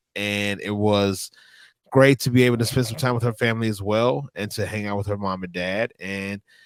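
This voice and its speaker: In a Louisiana accent, a man with a fairly low pitch and fairly even intonation speaks at a moderate pace, in a very clean recording with a silent background and a dry, close sound with no echo. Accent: Louisiana Southern US. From northern Louisiana. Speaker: wrestling manager. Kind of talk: interview.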